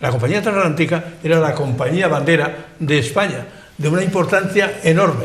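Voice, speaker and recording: A man talks at a moderate pace, fairly high in pitch with ordinary pitch variation. Noticeable background noise and audible room echo surround him. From Spain, Benidorm (Valencian region). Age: 80s+. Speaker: local elder and historian. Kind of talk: panel discussion on TV. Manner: halting, repetitive.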